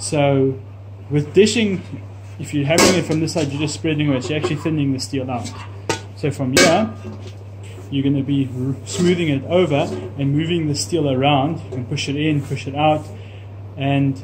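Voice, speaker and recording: Pausing long and often, a man talks at a moderate pace with noticeable background noise behind him. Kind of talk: tutorial. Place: workshop. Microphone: phone near.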